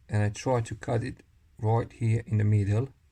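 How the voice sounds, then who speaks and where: A man with a non-native accent speaks at a fairly slow pace and a fairly low pitch. His voice is somewhat breathy and dark, mellow in tone, with fairly even intonation. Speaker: technician / tradesperson. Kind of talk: tutorial. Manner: casual, demonstrative.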